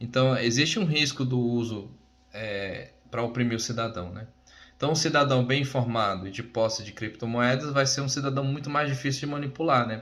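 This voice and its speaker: Audible room echo carries a man's medium-pitched voice with ordinary pitch variation. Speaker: crypto presenter / job candidate. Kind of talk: informal presentation. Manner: fast.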